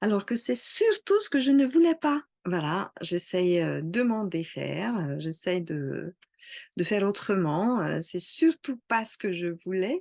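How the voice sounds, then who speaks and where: Recorded dry and close with no echo against a quiet background, a woman with a slight non-native accent speaks at a very slow pace and medium pitch, her voice making very wide pitch swings. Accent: slight foreign accent in French. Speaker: astrologer. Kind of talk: casual talk to camera. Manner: hesitant, many fillers.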